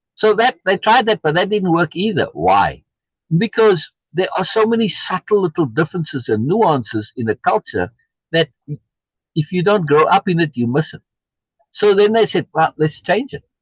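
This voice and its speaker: A man with a South African accent talks at a high pitch and a moderate pace with lively intonation, in a dry, close sound with no echo. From USA, South African immigrant community. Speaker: reading group host. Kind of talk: casual discussion. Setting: live stream.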